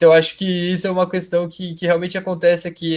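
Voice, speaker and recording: In a very clean recording with a silent background, a man speaks in a high pitch. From Brazil. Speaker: exchange student. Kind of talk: interview. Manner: halting.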